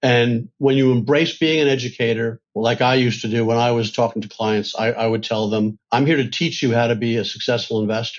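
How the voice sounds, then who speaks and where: In a normal speaking voice of medium pitch, a man keeps very even loudness and hardly any pauses. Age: 60s. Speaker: financial advisor, firm founder. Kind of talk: interview.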